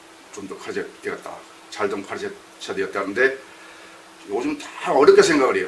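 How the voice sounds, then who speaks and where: Pausing long and often yet moving at a fairly quick pace, a man swings widely in loudness, with audible room echo and noticeable background noise. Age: 60s. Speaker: retired education official and Chinese-character teacher. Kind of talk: interview. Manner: halting, many fillers.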